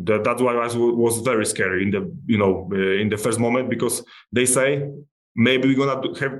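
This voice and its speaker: With its pitch moving in a normal way, an unremarkable speaking voice proceeds at an average speed. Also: man. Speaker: MMA fighter. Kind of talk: casual interview.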